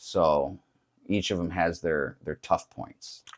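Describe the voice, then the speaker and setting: A man speaks with fairly even intonation in an American accent. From United States. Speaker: fitness trainer. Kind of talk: casual interview chat. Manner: loud, uses hands a lot.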